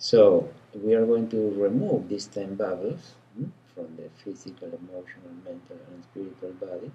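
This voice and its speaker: In an Argentine accent, a man speaks at a fairly slow pace with ordinary pitch variation. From Argentina. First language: Spanish. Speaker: energy healer. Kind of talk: casual interview.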